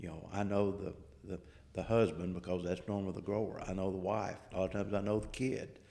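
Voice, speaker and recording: A man with a Southern accent talks at a very fast pace, fairly low in pitch. His tone is dark and mellow, his intonation flat and monotone. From US South. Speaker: agricultural researcher. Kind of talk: podcast interview.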